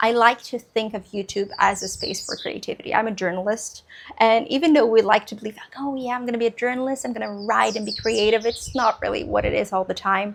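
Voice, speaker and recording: With a Portuguese accent, the speech races at a very fast pace with hardly any pauses and big swings in loudness. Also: woman, fairly high pitch for a woman. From Brazil. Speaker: book vlogger. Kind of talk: casual chat.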